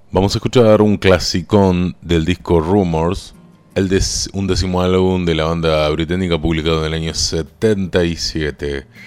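With music in the background, a man speaks at a fairly slow pace in a very deep, low pitch, keeping his intonation fairly even. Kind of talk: radio dj patter introducing songs. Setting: radio studio. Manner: informal, conversational, fluent with brief song-history asides.

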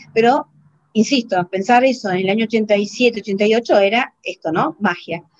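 A woman with an unremarkable speaking voice, a fairly high pitch and ordinary pitch variation speaks at a fairly slow pace, with a dry, close sound and no echo. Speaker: programmer. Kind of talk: interview.

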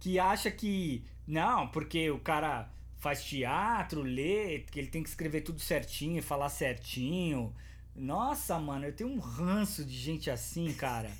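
The speaker has a strong São Paulo accent and a fairly slow pace. Audible room echo surrounds the voice. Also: man. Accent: paulista, strong. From São Paulo, Brazil. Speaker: podcast host. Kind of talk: casual chat. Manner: animated, slangy.

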